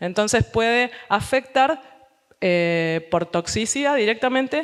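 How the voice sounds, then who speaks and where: A woman speaks with a fairly high pitch and ordinary pitch variation over noticeable background noise. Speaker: scientist presenting research. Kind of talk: lecture.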